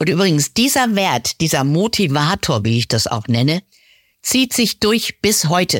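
Speaking at a very slow pace, a woman makes very wide pitch swings. The sound is dry and close with no echo, on a very clean recording with a silent background. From Lower Saxony, village. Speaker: coach. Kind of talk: casual chat.

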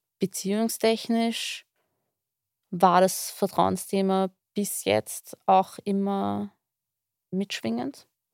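Someone with an Austrian accent speaks at a very slow pace, leaving long, frequent pauses, with ordinary pitch variation. The recording is very clean with a silent background, and the sound is dry and close with no echo. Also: woman, medium pitch for a woman. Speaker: therapy client. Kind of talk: personal conversation.

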